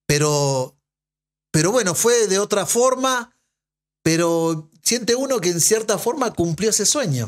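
Against a quiet background, a man speaks at a fairly slow pace with long, frequent pauses. His high pitch swings very widely, and his loudness shifts in big swings. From Uruguay. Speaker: former footballer and sports broadcaster; podcast guest. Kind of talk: casual interview. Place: studio. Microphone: studio mic.

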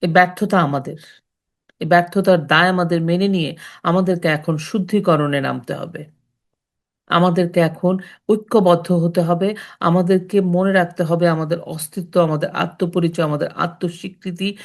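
A plain, everyday voice belongs to a woman speaking in a fairly low pitch. Her intonation is fairly even, and the background is quiet. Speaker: storytelling channel host. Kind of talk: impassioned patriotic commentary.

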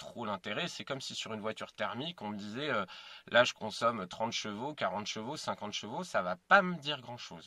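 A man's bright, sharp voice with big swings in loudness, in a dry sound with no echo. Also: quiet background. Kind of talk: casual explanatory vlog. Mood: calm, mildly puzzled. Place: car. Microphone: phone near.

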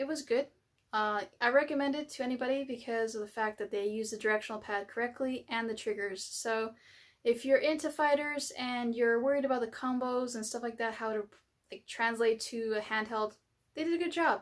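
At a fairly quick pace, a woman speaks with ordinary pitch variation over a quiet background. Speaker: gaming channel host. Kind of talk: casual vlog chat. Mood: upbeat, friendly. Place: home room.

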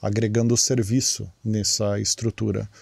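At a fairly slow pace, a man talks in a medium pitch with a dark, mellow tone against a quiet background. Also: dry sound with no echo. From Brazil. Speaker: podcast host. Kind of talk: interview. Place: studio. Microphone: studio mic.

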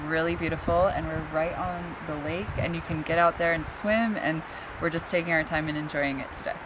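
Noticeable background noise sits behind a woman talking fairly quickly. Her voice is fairly low, with fairly even intonation. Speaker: travel vlogger. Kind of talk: casual vlog chat. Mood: relaxed, cheerful. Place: forest. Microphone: phone near.

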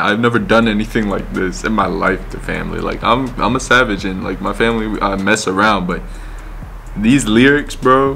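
A man speaks at a moderate pace with light background noise behind him. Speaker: vlogger. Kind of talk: casual vlog chat. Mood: amused, laughing. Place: home room.

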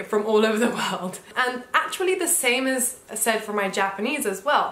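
Audible room echo around a woman's lively intonation and fairly high pitch. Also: moderate pace. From Japan, Ishikawa (Wajima). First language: English and Japanese (bilingual). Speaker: bilingual vlogger. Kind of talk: casual talk to camera. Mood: cheerful, relaxed. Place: home room.

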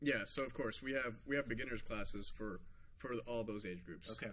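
Moderately paced speech from a man. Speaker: gym owner or coach. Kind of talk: interview answer. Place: gym.

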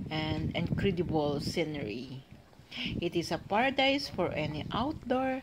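Loud background noise fills the recording. A woman talks at a very slow pace. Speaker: travel vlogger. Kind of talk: casual vlog chat. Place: street. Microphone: phone near.

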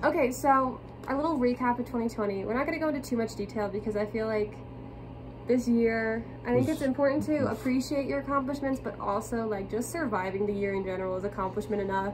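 Noticeable background noise sits under a woman talking at a very fast pace. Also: ordinary pitch variation. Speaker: vlogger. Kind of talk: casual vlog chat. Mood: cheerful, laughing. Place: home room. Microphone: phone near.

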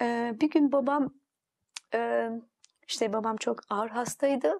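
Against a quiet background, a woman talks very slowly at a fairly high pitch. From Turkey. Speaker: interview guest. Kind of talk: testimony. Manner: halting. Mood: reflective, recalling memories. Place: studio. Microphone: lapel.

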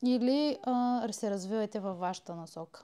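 A woman's fairly high voice with a dark, mellow tone, ordinary pitch variation and a moderate pace, on a very clean recording with a silent background. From Bulgaria, Elhovo. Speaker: podcast host. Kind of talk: interview. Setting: home studio.

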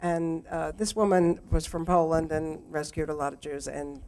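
A woman with an American accent speaks in a very deep, low voice with fairly even intonation. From Houston, Texas. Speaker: photographer. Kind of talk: conversation with slide presentation. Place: hall. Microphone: too quiet at first; handheld.

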